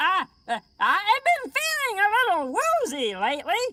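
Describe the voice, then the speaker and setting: This is a squeaky, cartoonish character voice at an extremely high pitch. Its pitch swings very widely. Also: moderate pace. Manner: hesitant, stammering.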